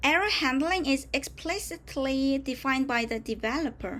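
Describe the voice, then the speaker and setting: A woman with a Korean accent talks at a fairly slow pace in a high pitch, with ordinary pitch variation. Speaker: tech tutorial presenter. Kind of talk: tutorial. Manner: halting, with self-corrections.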